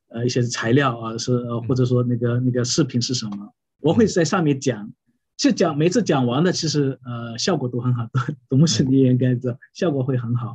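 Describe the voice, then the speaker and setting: A man's somewhat breathy voice moves along at a moderate speed. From China, Wenzhou (Yueqing). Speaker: pastor. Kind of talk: interview about preaching. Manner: halting, many fillers.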